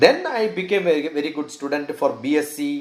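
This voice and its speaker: A man with a Keralan accent at a moderate pace. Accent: Indian English, Malayali. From northern Kerala, India. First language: Malayalam. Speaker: scientist and educationalist. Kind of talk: interview.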